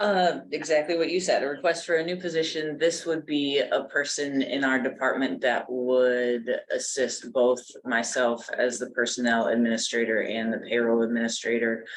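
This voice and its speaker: This man talks at a moderate pace with hardly any pauses, at a medium pitch and with ordinary pitch variation. Noticeable background noise is present. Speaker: personnel administrator. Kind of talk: public meeting. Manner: soft-spoken.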